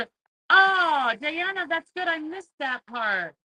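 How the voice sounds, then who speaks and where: This woman's tone is bright and sharp, with lively intonation. The sound is dry and close, with no echo. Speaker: craft livestream host. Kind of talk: live craft tutorial. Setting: livestream. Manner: animated; loud.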